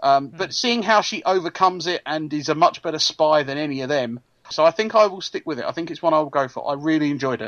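A man with an English accent talks at a very fast pace in a fairly high pitch, with hardly any pauses, ordinary pitch variation and big swings in loudness. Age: 40s. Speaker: podcast co-host. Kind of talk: casual chat.

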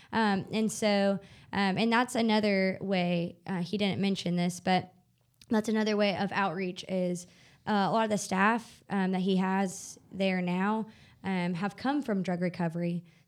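A voice with a Southern US accent, fairly slow pace, fairly even intonation and very even loudness, in a very clean recording with a silent background. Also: woman, medium pitch for a woman. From US South, northwest Arkansas. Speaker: nonprofit worker. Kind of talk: interview.

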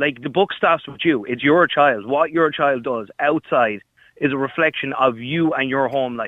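With an Irish accent, a man talks at a moderate pace. His pitch is fairly high, with ordinary variation. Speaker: caller. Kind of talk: heated debate. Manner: animated.

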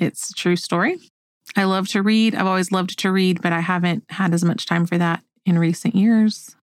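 In an unremarkable speaking voice, a woman talks at a moderate pace and medium pitch, her intonation fairly even and her loudness very even. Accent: American. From Oklahoma. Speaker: podcast host. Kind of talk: casual chat.

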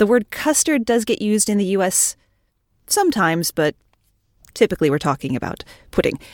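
A woman with an American accent talks at a fairly quick pace and medium pitch, with very wide pitch swings and long, frequent pauses. The very clean recording has a silent background and a dry, close sound with no echo. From United States. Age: 40s. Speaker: retail cashier and podcaster. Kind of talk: casual chat.

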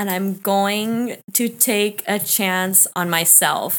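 A woman talks in a medium pitch. The background is silent and the recording very clean. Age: 30s. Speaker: nutrition coach. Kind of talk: casual chat.

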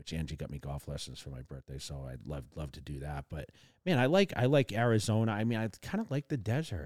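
A man with a very deep, low voice and very wide pitch swings speaks at a fairly quick pace, the sound dry and close with no echo. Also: big swings in loudness, very clean recording, silent background. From Massachusetts. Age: 40s. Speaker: bodybuilding podcast host. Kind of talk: casual chat.

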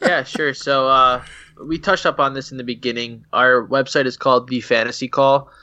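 At a moderate pace, a man talks in an ordinary speaking voice, medium in pitch, with fairly even intonation. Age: 20s. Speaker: fantasy football podcaster. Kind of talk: casual chat.

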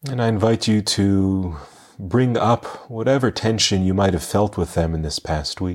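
Fairly low in pitch, this man has an ordinary speaking voice with ordinary pitch variation. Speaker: meditation guide podcast host. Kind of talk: guided meditation. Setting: live Zoom gathering, recorded. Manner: calm, gentle, slow-paced, soothing; warm, addressing listeners as dear friends.

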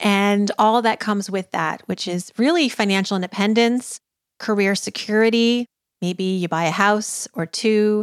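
A woman with an unremarkable speaking voice at medium pitch talks at a fairly slow pace with ordinary pitch variation, the sound dry and close with no echo, in a very clean recording with a silent background. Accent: American. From US Northeast (Massachusetts). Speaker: personal finance expert. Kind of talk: interview.

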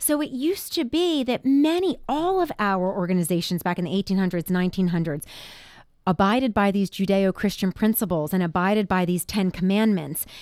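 With an unremarkable speaking voice, a woman at medium pitch talks at a fairly quick pace with lively intonation and very even loudness, in a very clean recording with a silent background. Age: 40s. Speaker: radio host. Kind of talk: radio talk show. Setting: studio.

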